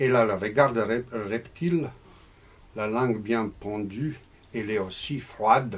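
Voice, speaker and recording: A male voice at a medium pitch moves at a fairly slow pace, its pitch varying in an ordinary way. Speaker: novelist. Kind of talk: reading aloud; casual talk. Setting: bookshop with audience. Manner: halting.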